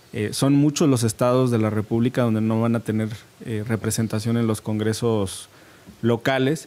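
With a dark, mellow tone, a man speaks at a moderate pace and fairly even intonation. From Mexico. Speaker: politician. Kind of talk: televised debate. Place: studio. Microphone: studio mic.

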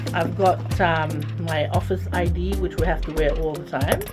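Speech at a moderate pace over clear music in the background. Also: woman. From Fiji. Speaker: radio and television broadcaster, commercial voice. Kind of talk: casual talk to camera, what's in my bag segment. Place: studio.

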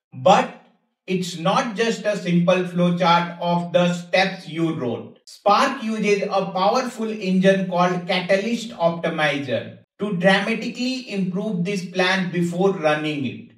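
A man at a high pitch with ordinary pitch variation and a fairly slow pace, amid audible room echo and a quiet background. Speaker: tech educator. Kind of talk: tutorial. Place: home room.

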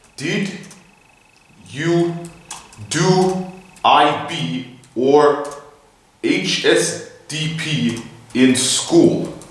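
Strong room echo surrounds a man with a high pitch and ordinary pitch variation who leaves long, frequent pauses. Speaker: vlogger chatting with an online bot. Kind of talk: casual vlog chat. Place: classroom. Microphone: camera far.

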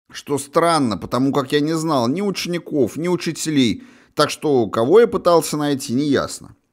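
On a very clean recording with a silent background, a man with a normal speaking voice talks at a fairly high pitch and moderate pace with lively intonation. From Russia, St Petersburg. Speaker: author and audiobook narrator. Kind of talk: audiobook memoir reading, first-person recollection of 1980s school days. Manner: measured, conversational storytelling with wry asides.

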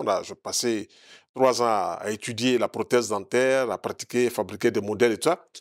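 The background is quiet while a man speaks. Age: 60s. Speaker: naturopath; interview guest. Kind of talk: TV interview. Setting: TV studio. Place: studio. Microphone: lapel.

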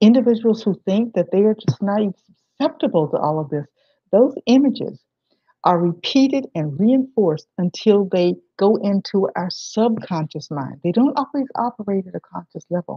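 Against a quiet background, a woman with an American accent speaks at a moderate pace, somewhat breathy and with lively intonation, the sound dry with no echo. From southwestern Virginia, US South. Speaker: historian and museum director; presenter. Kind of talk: lecture. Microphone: webcam.

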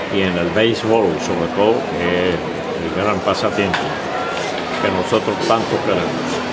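Loud background noise sits behind a man's voice. He goes at a fairly slow pace with long, frequent pauses. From Cuba. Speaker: baseball radio play-by-play announcer. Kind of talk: interview answer. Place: booth. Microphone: phone near.

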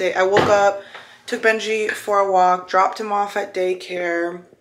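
A woman's medium-pitched, monotone, flat voice amid audible room echo. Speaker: lifestyle vlogger. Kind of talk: casual vlog to camera. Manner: scattered, rambling delivery.

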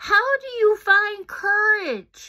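Putting on a character voice, a woman sounds squeaky and extremely high in pitch. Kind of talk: read-aloud children's story. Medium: read story. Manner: earnest, questioning. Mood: raised, earnest.

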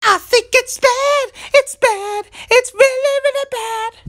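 A put-on character voice pitched extremely high. It moves at a fairly slow pace. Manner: exasperated.

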